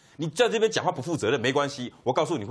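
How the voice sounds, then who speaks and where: Vocal fry runs through this man's speech. He talks very fast with very wide pitch swings. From Taiwan. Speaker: veteran journalist; talk show guest. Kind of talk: TV political talk show panel. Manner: animated. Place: studio. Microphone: lapel.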